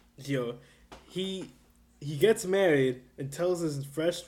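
A high-pitched man's voice with ordinary pitch variation over noticeable background noise. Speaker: podcast co-host. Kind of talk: casual banter.

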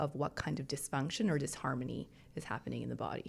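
Vocal fry runs through a woman's fairly quick speech. The recording is very clean, with a silent background. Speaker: traditional Chinese medicine practitioner. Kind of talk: casual chat. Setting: studio.

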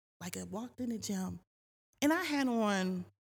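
Against a silent background in a very clean recording, a woman speaks at a medium pitch and a fairly slow pace with lively intonation. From US Northeast, East Orange, New Jersey. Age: 50s. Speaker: boutique owner and retired veteran. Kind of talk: casual interview chat.

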